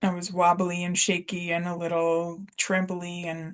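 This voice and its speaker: Against a quiet background, a woman with a Russian accent speaks at a fairly low pitch. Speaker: spiritual coach. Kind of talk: personal testimony. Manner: casual, with fillers.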